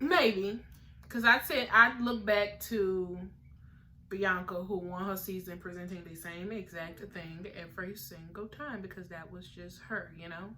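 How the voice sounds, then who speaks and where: A woman talks at a fairly slow pace and medium pitch, with ordinary pitch variation. Her loudness swings widely over noticeable background noise. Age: 20s. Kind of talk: casual TV show recap talk.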